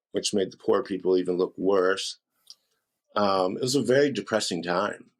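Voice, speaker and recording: A man with an American accent talks at a moderate pace in a plain, everyday voice, pitched fairly low with ordinary variation. His loudness stays very even. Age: 60s. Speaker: rock guitarist. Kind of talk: casual interview. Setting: podcast interview.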